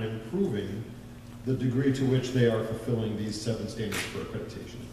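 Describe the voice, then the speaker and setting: With noticeable background noise and audible room echo around him, the man talks fairly quickly. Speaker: school district administrator. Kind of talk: public meeting presentation.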